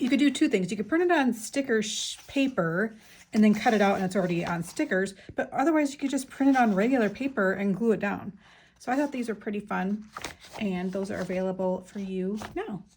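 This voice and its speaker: A woman speaks in a fairly high pitch with lively intonation. Her voice is somewhat breathy. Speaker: craft YouTuber. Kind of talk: casual show-and-tell. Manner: fast; chatty, many fillers.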